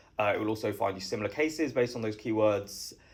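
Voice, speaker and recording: A man with a British accent and a fairly low pitch talks at a very fast pace with fairly even intonation, in a very clean recording with a silent background. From southeast England. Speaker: startup founder. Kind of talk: interview.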